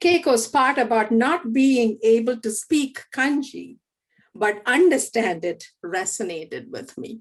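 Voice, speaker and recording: At a fairly slow pace, a woman with a fairly high pitch speaks with big swings in loudness. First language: Malayalam. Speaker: theology professor. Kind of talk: panel moderation. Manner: halting.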